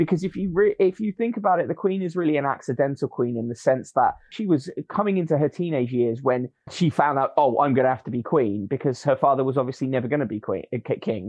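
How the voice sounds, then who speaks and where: A man with a British accent talks at a very fast pace with hardly any pauses. His medium-pitched voice has lively intonation. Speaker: media commentator. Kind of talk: panel discussion.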